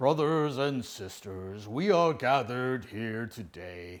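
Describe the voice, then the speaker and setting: In a put-on character voice, a man speaks at a fairly slow pace and medium pitch on a very clean recording with a silent background. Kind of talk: formal, sermon-like. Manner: theatrical, booming.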